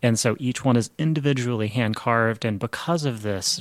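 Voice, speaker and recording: A man with an American accent speaks in a plain, everyday voice. His pitch is medium and his intonation fairly even. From Midland, Texas. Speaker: cellist. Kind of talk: radio interview. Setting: radio studio.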